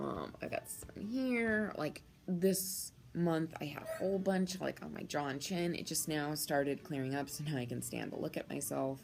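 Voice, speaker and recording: A woman with a very deep, low pitch, lively intonation and a moderate pace, with music in the background. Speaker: vlogger documenting gender transition. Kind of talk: casual vlog. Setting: outdoors. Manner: halting, many fillers.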